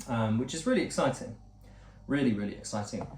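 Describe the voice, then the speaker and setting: A man is speaking. There is audible room echo around his voice. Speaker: vlogger, former actor. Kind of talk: casual vlog monologue. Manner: fast; stumbling over words.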